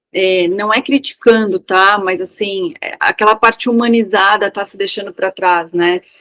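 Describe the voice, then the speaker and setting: An unremarkable speaking voice moves at a fairly slow pace with fairly even intonation, heard in a dry, close sound with no echo. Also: woman. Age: 40s. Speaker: architect, participant in online class. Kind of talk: casual chat.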